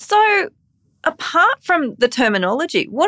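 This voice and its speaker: A woman's voice swings very widely in pitch. The sound is dry and close with no echo, over a quiet background. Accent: Australian. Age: 40s. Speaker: podcast host and empathy educator. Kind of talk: casual interview chat. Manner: warm, upbeat.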